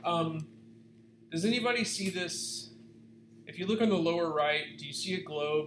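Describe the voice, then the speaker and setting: A man with a fairly high pitch talks at a moderate pace, with light background noise and audible room echo. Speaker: video editing class instructor; instructor. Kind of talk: workshop tutorial. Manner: loud; casual, filler-heavy. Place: home room. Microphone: webcam.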